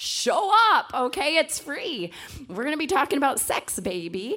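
Over noticeable background noise, the voice swings very widely in pitch. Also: woman. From rural farm upbringing. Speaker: pastor's wife sharing testimony. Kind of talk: testimony. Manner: animated.

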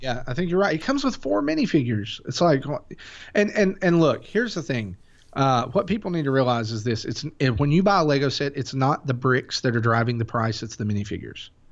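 Against a quiet background, a man talks at a fairly quick pace. His intonation is lively. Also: medium pitch for a man. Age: 30s. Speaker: podcast host appearing as guest. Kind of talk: casual chat. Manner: animated.

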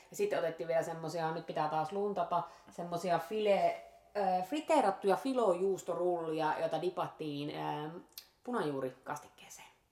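Noticeable background noise sits under a woman's fairly low voice, which has ordinary pitch variation and a moderate pace. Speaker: restaurant review podcast host. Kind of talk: casual chat.

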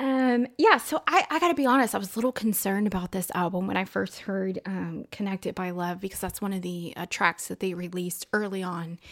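This woman has a medium-pitched voice with a slight Texan accent. She talks at a fairly quick pace with hardly any pauses. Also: ordinary pitch variation. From Texas. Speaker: podcast host.

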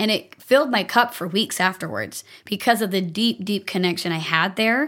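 An ordinary speaking voice at a moderate pace, captured on a very clean recording with a silent background. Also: woman. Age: 30s. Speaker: life coach and dancer. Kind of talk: casual chat.

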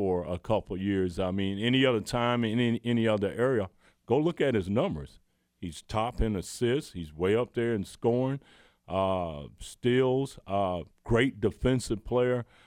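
In a Southern US accent, a man speaks at a moderate pace and medium pitch with ordinary pitch variation. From US South, Georgia. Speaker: former college basketball player. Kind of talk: casual chat.

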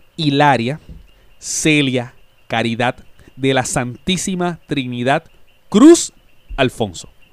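A man's very slow speech. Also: long, frequent pauses. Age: 30s. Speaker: podcast co-host. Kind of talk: casual chat.

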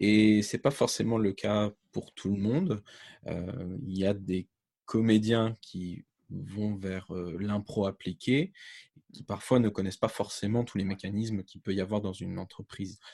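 Over a quiet background, a man speaks fairly slowly in a dark, mellow, fairly low voice with ordinary pitch variation and a dry, close sound with no echo. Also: big swings in loudness. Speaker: podcaster, co-host. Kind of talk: casual interview.

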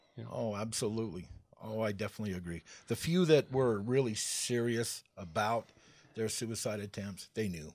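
This man has a plain, everyday voice, fairly low in pitch, with ordinary pitch variation and a moderate pace. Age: 40s. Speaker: person in addiction recovery. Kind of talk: testimony. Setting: studio.

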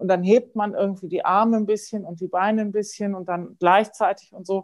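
A woman speaks at a medium pitch and a moderate pace, with a plain, everyday voice. Her intonation stays fairly even. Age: 50s. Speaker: music professor and Feldenkrais teacher. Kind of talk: casual interview. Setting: podcast recording.

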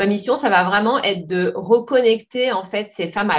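In an unremarkable speaking voice, the words come at a fairly slow pace with ordinary pitch variation. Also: woman. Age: 40s. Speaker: personal development coach. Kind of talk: interview.

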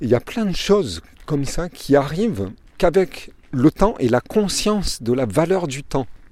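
Speaking at a fairly slow pace, a man with a fairly high pitch and a dark, mellow tone swings his pitch very widely, with vocal fry in his voice. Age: 50s. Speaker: podcaster. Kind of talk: motivational monologue. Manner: halting.

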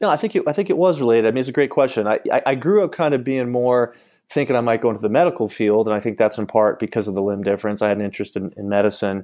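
A man speaks at a very fast pace with hardly any pauses, in an American accent. His tone is dark and mellow, and the background is quiet. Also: medium pitch for a man, ordinary pitch variation. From US Northeast (Syracuse, New York). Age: 40s. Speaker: attorney. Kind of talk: interview.

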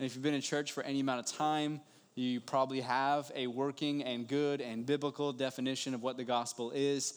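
A man with an American accent speaks in a normal speaking voice at a fairly quick pace, medium in pitch and fairly even in intonation, on a very clean recording with a silent background. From West Virginia. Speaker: pastor. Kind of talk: sermon. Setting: church.

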